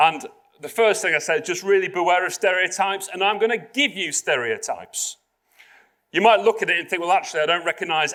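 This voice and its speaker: A man with a Yorkshire accent talks at a fairly quick pace. His tone is bright and sharp, and his pitch varies in an ordinary way. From South Yorkshire, England. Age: 50s. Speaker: public speaker. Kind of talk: keynote talk to corporate audience. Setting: stage with live audience at corporate venue.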